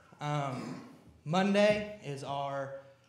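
Fairly high-pitched male voice with ordinary pitch variation and audible room echo. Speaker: church youth leader. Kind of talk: church announcements. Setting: church. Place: church. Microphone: podium.

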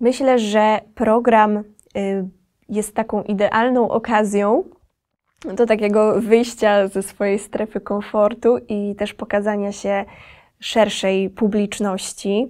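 Speaking very slowly in a flat monotone, a woman with a fairly high pitch is heard over a quiet background. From Podkarpacie, south-east Poland. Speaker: singer and violinist; interview guest. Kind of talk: interview. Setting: recording studio. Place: studio.

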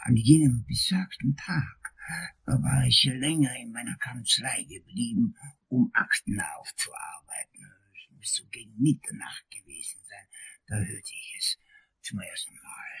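A man's put-on character voice at a moderate pace, with big swings in loudness and a dry, close sound with no echo. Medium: audio drama. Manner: long-winded, theatrical.

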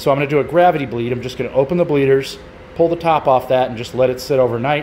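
A man at a very fast pace, with light background noise. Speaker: hobby mechanic channel host. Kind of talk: casual vlog chat. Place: garage. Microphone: phone near.

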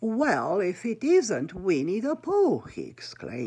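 What we hear is an unforced reading voice. It carries through the whole clip.

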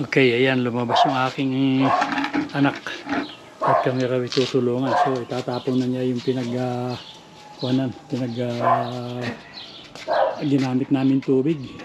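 Fairly slow, monotone delivery with flat intonation, long, frequent pauses and noticeable background noise. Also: man, medium pitch for a man. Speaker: vlogger. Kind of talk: casual cooking vlog. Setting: outdoors, backyard. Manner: halting, many fillers.

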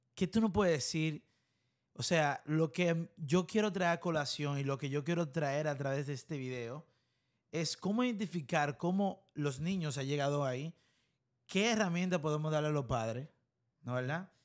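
Over a quiet background, a man speaks at a moderate pace with a fairly high pitch and ordinary pitch variation. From Dominican Republic. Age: 20s. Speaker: podcast host. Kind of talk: casual interview. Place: studio. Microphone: studio mic.

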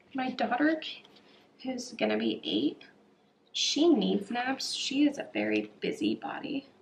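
A quiet woman at a fairly slow pace, with long, frequent pauses and light background noise. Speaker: planner vlogger. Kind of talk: tutorial. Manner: casual, filler-heavy. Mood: relaxed, chatty.

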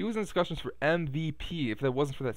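With a quiet background and a dry sound with no echo, a man is speaking. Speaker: Bears fan video blogger. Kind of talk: angry sports rant, venting about a Bears loss with heavy profanity, aimed at the camera. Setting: home computer with headset mic, recorded video. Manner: rambling, filler-heavy ('uh', 'um'), casual. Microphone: webcam.

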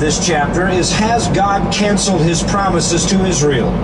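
A man talks with ordinary pitch variation while music plays in the background. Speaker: Bible teacher. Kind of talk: sermon.

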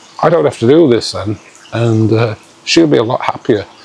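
A man talks fairly slowly, his pitch varying in an ordinary way, with noticeable noise in the background. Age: 50s. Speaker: vlogger. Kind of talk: casual vlog chat. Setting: outdoors. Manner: animated.

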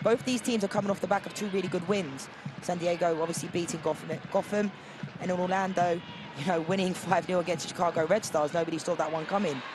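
A man with a high voice speaks at a very fast pace in an enthusiastic tone. Noticeable background noise is present. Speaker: color commentator. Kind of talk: sports commentary, analytical color commentary breaking down replays. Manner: enthusiastic, repeats superlatives like fantastic and brilliant; conversational, frequent 'you know' fillers.

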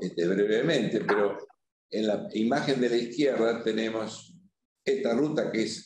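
Audible room echo surrounds a man's fairly low voice, which has a slightly mellow tone. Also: ordinary pitch variation, fairly slow pace.

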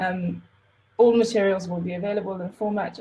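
A woman speaks with a dark, mellow tone that is somewhat breathy. Her pitch varies in an ordinary way. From South Africa, Cape Town. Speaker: open knowledge project organizer. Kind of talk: presentation. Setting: video call. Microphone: video call.

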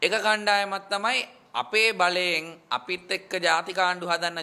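Raising and projecting his high voice, a man talks very slowly with a bright, sharp tone and fairly even intonation. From Sri Lanka. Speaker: politician. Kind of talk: political statement to press. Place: meeting room. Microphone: handheld.

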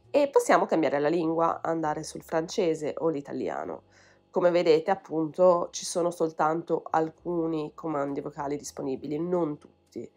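Fairly even intonation with big swings in loudness, at a moderate pace over background music. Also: woman, fairly low pitch for a woman. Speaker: language teacher and YouTuber. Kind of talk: tutorial.

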